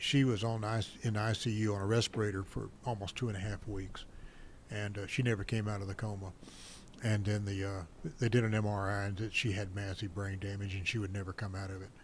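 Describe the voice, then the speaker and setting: A man with a fairly low, somewhat breathy voice speaks at a fairly quick pace in a monotone, flat way. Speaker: war veteran. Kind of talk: personal testimony in interview.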